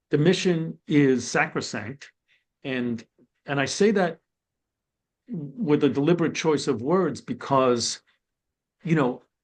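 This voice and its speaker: Against a quiet background, a man with an American accent and a fairly high pitch speaks at a very slow pace with lively intonation and long, frequent pauses. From New York City (Brooklyn). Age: 60s. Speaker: former corrections and probation official. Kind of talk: webinar panel discussion.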